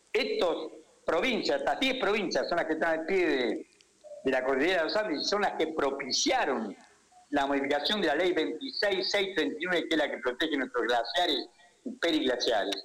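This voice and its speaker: A man's high-pitched voice at a moderate pace, very wide pitch swings and very even loudness, with noticeable background noise. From Argentina, Tucumán. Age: 70s. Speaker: economist. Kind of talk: radio interview.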